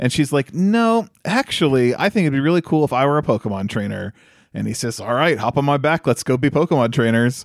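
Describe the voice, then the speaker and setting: A man with an unremarkable speaking voice talks at a fairly quick pace and a fairly high pitch. The recording is very clean and silent behind him, with a dry, close sound and no echo. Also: lively intonation. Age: 30s. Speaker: podcast co-host, film reviewer. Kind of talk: casual chat.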